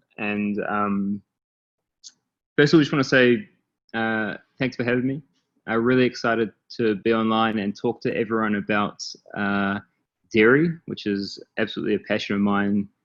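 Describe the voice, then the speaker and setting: Speaking at a moderate pace with a medium pitch, a man with a New Zealand accent keeps his intonation fairly even and leaves long, frequent pauses. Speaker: startup founder and CEO. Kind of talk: presentation. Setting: online call. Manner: many filler words (um, uh).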